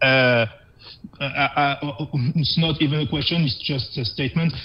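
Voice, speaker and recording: At a moderate pace, a man with a French accent speaks in a fairly high pitch with fairly even intonation. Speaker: video game player. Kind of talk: casual chat. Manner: halting.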